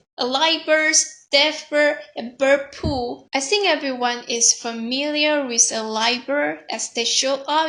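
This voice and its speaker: A woman with a non-native accent speaks at a fairly slow pace in a high voice with a bright, sharp tone. Her voice is raised and projected, with ordinary pitch variation. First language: not English. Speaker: youtuber. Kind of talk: personal storytelling monologue.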